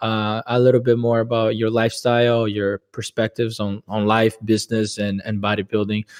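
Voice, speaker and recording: With a Portuguese accent, a man talks at a moderate pace and medium pitch in a monotone, flat intonation, hardly pausing, his voice dry and close with no echo over a quiet background. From Brazil. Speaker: podcast host. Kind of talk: interview wrap-up.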